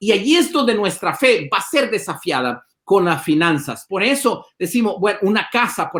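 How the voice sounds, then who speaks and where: A man's high, bright and sharp voice at a moderate pace, with very wide pitch swings. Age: 50s. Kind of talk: interview conversation.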